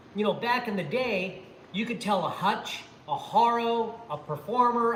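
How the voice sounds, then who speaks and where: Amid noticeable background noise and audible room echo, a man speaks in a raised, projected voice at a high pitch, with ordinary pitch variation and a fairly slow pace. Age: 60s. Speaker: former pro BMX rider and channel host. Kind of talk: livestream chat. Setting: garage workshop.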